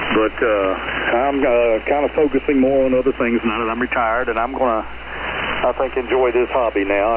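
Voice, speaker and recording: A man's medium-pitched voice at a fairly quick pace, monotone and flat in intonation, over noticeable background noise. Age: 60s. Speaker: ham radio operator checking into a net. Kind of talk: radio net check-in. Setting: amateur radio transmission.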